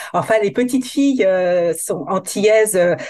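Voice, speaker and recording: Over noticeable background noise, a woman speaks fairly slowly at a medium pitch, her voice swinging very widely in pitch. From metropolitan France, Guadeloupean family. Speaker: hair coach. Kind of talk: casual interview.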